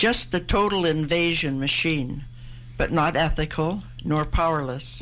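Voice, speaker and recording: Her voice very deep and low with vocal fry, a woman speaks in a Canadian accent at a fairly slow pace, with ordinary pitch variation and very even loudness. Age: 80s+. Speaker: poet. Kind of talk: interview with poetry readings. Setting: radio studio.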